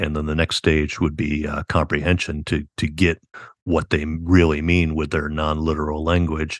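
A man with a very deep, low pitch talks at a moderate pace in a monotone, flat intonation. The sound is dry and close with no echo, and the background is quiet. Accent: American. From upstate New York, US; Army brat. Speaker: author and university professor. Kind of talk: casual interview.

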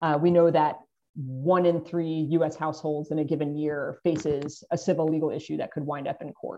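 A woman speaks in a very deep, low voice with flat, monotone intonation. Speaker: legal reform project director. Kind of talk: interview. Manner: fast.

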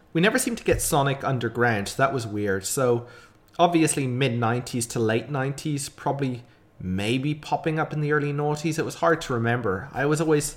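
With an Irish accent, a man speaks at a moderate pace, his fairly high pitch carried by lively intonation. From Ireland. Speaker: podcast host. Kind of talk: casual chat.

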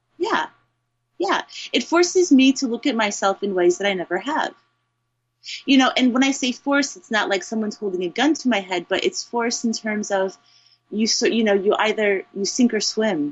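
Somewhat breathy and fairly high-pitched, a woman with an American accent talks at a moderate pace with very wide pitch swings. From Eastern Iowa, US Midwest. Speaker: English teacher. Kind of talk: casual chat. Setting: video call.

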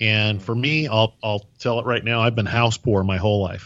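A man with an unremarkable speaking voice talks at a moderate pace and medium pitch, his intonation fairly even. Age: 50s. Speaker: podcast host. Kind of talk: casual interview chat.

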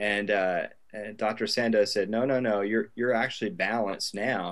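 Against a quiet background, someone talks at a fairly slow pace in a plain, everyday voice with ordinary pitch variation. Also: man. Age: 40s. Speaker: email marketing business owner, former Air Force pilot. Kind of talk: interview.

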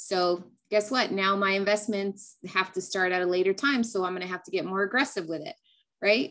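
Speaking fairly quickly with an American accent, a woman uses medium pitch and ordinary pitch variation on a very clean recording with a silent background. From California. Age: 30s. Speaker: tax accountant. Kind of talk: interview.

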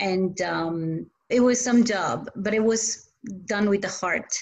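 A woman of medium pitch with an Italian accent. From Italy. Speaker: community volunteer. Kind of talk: interview. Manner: halting.

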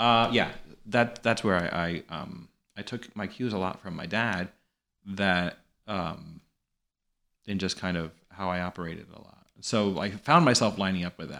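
In an American accent and a bright, sharp tone, the speaker goes at a moderate pace with ordinary pitch variation, big swings in loudness, and long, frequent pauses. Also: man, fairly low pitch for a man. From New York. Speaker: actor and comedian. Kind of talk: casual chat.

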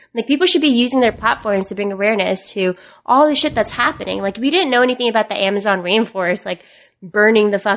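A woman with an ordinary speaking voice and fairly high pitch talks at a fairly quick pace with ordinary pitch variation, on a very clean recording with a silent background. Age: 20s. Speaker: digital marketer and social media influencer. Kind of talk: casual chat.

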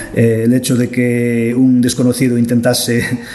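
Noticeable background noise accompanies a man speaking at a fairly slow pace and medium pitch. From Galicia, Arteixo. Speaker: local author and blogger. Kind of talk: interview. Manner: hesitant, many fillers.

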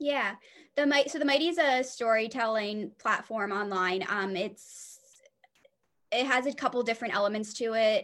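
With an American accent, a woman uses an ordinary speaking voice at a fairly high pitch, with ordinary pitch variation and a moderate pace. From New Jersey. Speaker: social worker. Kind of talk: interview.

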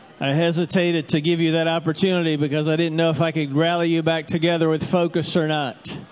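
Barely pausing, a man with a fairly high pitch races along at a very fast pace, his intonation monotone and flat and his loudness very even. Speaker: church pastor. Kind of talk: church welcome, introduction and closing prayer. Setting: church with congregation. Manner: warm, friendly, casual.

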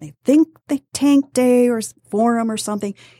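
This woman has a normal speaking voice and an American accent, talking at a moderate pace. The recording is very clean, with a silent background. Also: dry, close sound with no echo. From Metro Detroit, Michigan. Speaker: newspaper reporter and author. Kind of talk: casual interview.

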